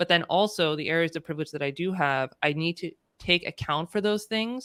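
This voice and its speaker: Speaking at a fairly quick pace in a Californian accent, the voice shows ordinary pitch variation in a very clean recording with a silent background and dry, close sound with no echo. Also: woman, fairly low pitch for a woman. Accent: Californian American. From California, US. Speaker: diversity and inclusion consultant. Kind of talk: casual interview conversation.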